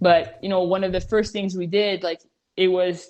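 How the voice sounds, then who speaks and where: In a Montreal accent, a woman speaks at a fairly low pitch with monotone, flat intonation. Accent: Canadian English, Montreal. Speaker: professional soccer goalkeeper. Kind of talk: interview.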